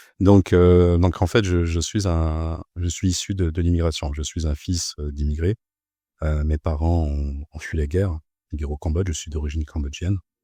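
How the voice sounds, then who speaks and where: A somewhat breathy, dark, mellow tone with fairly even intonation, dry and close with no echo, on a very clean recording with a silent background. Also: man, very deep, low pitch for a man, moderate pace. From Paris suburbs, France. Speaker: bank compliance officer. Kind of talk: podcast interview. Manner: halting, many hesitations and repeated words.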